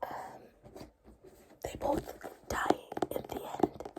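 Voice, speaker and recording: Background noise is noticeable. Through it comes a whisper. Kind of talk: ASMR book haul. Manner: soft-spoken, whispered.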